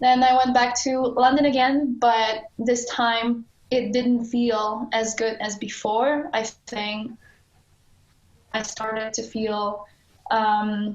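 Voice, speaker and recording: A woman speaks very slowly in a monotone, flat intonation. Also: fairly high pitch for a woman. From Poland, small town. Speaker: adventure cyclist. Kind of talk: interview. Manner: halting, with hesitations and restarts.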